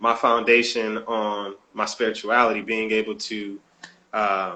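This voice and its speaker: This man speaks at a medium pitch. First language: not English. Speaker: author. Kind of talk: interview. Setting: live stream.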